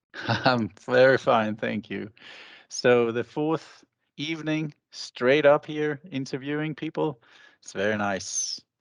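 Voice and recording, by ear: A man speaks slowly at a medium pitch, with vocal fry and ordinary pitch variation. The sound is dry and close, with no echo.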